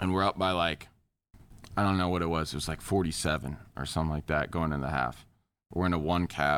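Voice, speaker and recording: A man speaks very fast at a very deep, low pitch, his intonation fairly even, with long, frequent pauses. The recording is very clean, with a silent background. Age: 20s. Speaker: esports pro player. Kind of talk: casual chat.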